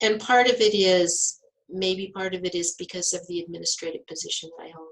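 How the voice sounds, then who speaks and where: An ordinary speaking voice moves at a fairly quick pace with fairly even intonation. Its loudness swings widely. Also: woman, medium pitch for a woman. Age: 60s. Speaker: health center director. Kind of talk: interview.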